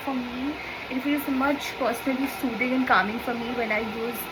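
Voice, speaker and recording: Speaking at a moderate pace with a Bengali accent, a high-pitched woman keeps a fairly even intonation amid audible room echo and noticeable background noise. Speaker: lifestyle YouTuber. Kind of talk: casual vlog tutorial. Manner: chatty, informal.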